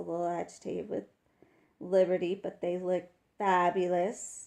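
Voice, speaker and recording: A woman talks at a moderate pace with a fairly low pitch. She has a slight Texas accent. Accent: slight Texas twang. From West Texas. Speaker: wildlife camera commentator. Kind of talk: live commentary. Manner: casual, chatty with fillers.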